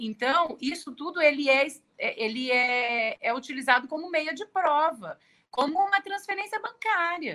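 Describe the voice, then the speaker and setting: A woman uses a raised, projected voice with a bright, sharp tone. She speaks at a very slow pace, and her pitch swings very widely. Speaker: tax lawyer. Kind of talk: live-stream interview. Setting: live YouTube stream.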